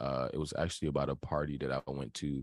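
A man with vocal fry speaks at a moderate pace, the sound dry and close with no echo. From Virginia, Hampton (757). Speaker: singer and rapper. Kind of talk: casual interview.

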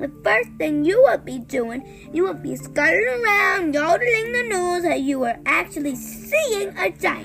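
A put-on character voice at a fairly slow pace, with vocal fry, big pitch swings and a fairly bright tone over faint music in the background. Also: woman, extremely high pitch for a woman.

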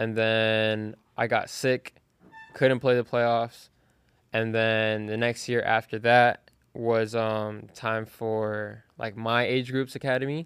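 A man's medium-pitched voice at a very slow pace, monotone and flat, with music in the background. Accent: American. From South Florida (Broward County). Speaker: college soccer player. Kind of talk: casual interview. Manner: hesitant, with many fillers.

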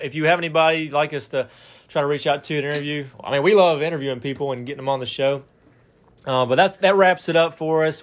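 Talking at a very fast pace, a man with an Alabama accent uses a fairly high pitch and fairly even intonation. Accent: Southern US (Alabama). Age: 20s. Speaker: sports podcast host. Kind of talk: casual chat.

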